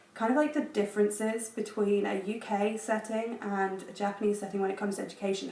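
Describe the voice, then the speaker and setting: The speaker has an English accent and a moderate pace, with noticeable background noise in the recording. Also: woman. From England. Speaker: education professional, JET teacher. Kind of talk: casual vlog talk to camera.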